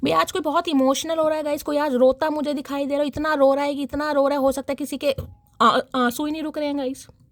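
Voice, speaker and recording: Her voice high-pitched and her intonation monotone and flat, a woman speaks with a dry, close sound that has no echo. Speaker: tarot reader. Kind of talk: tarot reading.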